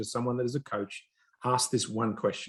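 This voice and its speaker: Somewhat breathy, a man's voice races along at a very fast pace. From Australia. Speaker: business executive. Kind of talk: interview.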